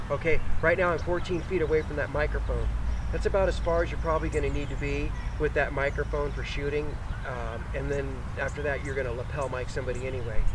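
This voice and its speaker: Over noticeable background noise, a man speaks very fast, and the sound is dry with no echo. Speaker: video gear reviewer. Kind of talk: tutorial. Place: open country.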